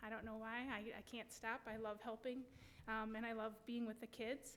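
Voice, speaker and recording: In a Wisconsin accent, a woman talks at a moderate pace in a fairly high voice with monotone, flat intonation. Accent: Wisconsin (Upper Midwest). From US Midwest, West Allis, Wisconsin. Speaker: school board candidate. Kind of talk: candidate forum statement.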